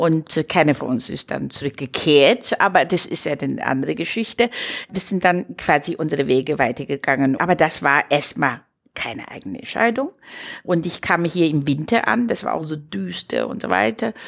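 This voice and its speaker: A woman's voice with vocal fry and a very deep, low pitch. Her pitch swings very widely. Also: moderate pace. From China. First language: Chinese (speaking German). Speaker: entrepreneur and cultural project initiator. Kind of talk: interview conversation.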